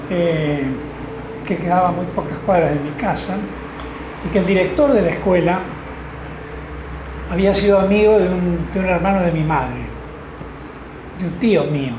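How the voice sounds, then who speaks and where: Over noticeable background noise and audible room echo, a man with a high pitch speaks at a moderate pace with long, frequent pauses. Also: ordinary pitch variation. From Argentina, Rosario. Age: 80s+. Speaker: law professor. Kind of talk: interview. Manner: hesitant, with fillers.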